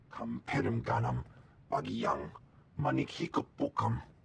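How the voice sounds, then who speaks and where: In a put-on character voice, a man speaks very deep and low, and raspy. His pace is moderate. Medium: video game. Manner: foreign alien language.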